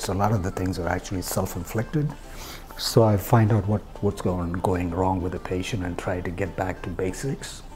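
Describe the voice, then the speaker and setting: Amid noticeable background noise, a man talks at a fairly quick pace with a very deep, low pitch and ordinary pitch variation. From southern India. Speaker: physician. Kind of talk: personal storytelling monologue. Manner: hesitant with fillers.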